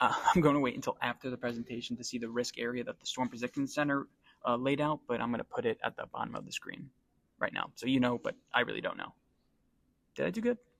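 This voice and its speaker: A man speaks quietly at a very fast pace, with a dry, close sound and no echo. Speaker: weather enthusiast. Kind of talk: casual tutorial. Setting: library.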